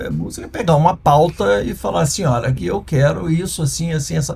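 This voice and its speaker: Amid noticeable background noise, a man talks at a fairly high pitch and a moderate pace. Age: 60s. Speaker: former music and TV producer, entrepreneur. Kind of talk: interview conversation. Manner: halting.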